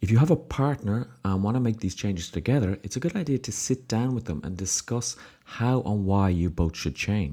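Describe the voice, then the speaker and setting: A man with an Irish accent, a dark, mellow tone and a fairly low pitch that swings very widely, in a very clean recording with a silent background. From Ireland. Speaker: podcast host, success coach. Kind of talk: solo podcast monologue.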